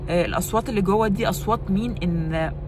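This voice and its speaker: A woman speaks at a fairly quick pace. Her voice carries audible room echo over noticeable background noise. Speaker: lifestyle vlogger. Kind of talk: vlog talk to camera. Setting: walking in the street. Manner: loud; casual with frequent fillers and English code-switching.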